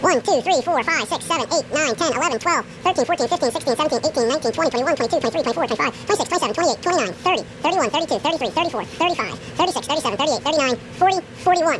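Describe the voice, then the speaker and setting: A very fast, squeaky, high-pitched put-on character voice with a playful tone over background music. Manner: rapid, playful counting.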